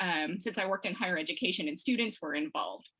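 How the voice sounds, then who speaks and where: With an American accent, a woman speaks in a bright, sharp tone and lively intonation. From Texas, Houston area. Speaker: watercolor illustrator. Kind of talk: interview.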